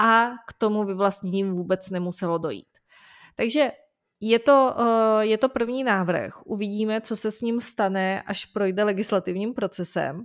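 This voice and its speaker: A woman's normal speaking voice at a medium pitch, fairly slow, with ordinary pitch variation, on a very clean recording with a silent background. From Czech Republic. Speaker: lawyer, legal news podcast co-host. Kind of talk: conversational legal news discussion.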